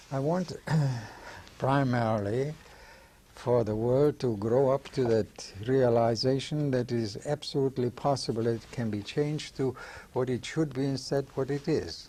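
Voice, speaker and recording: At a moderate pace, a man speaks in a somewhat breathy voice with a dark, mellow tone. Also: medium pitch for a man, fairly even intonation. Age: 80s+. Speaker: veteran actor and director. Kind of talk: interview.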